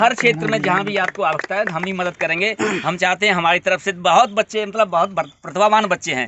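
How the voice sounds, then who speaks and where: A high-pitched man talks at a moderate pace with hardly any pauses and ordinary pitch variation over noticeable background noise. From western Uttar Pradesh, India (Mathura/Hathras area). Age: 60s. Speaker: masters athlete. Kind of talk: motivational talk to young players.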